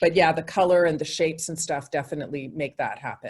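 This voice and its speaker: A woman speaks in a normal speaking voice. Her pitch sits fairly low, and her intonation stays fairly even. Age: 60s. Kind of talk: interview.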